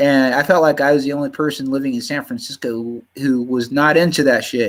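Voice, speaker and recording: A man with an American accent and a fairly high pitch. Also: ordinary pitch variation. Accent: slight Southern US drawl creeps in. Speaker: livestreamer. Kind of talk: casual live stream monologue. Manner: halting.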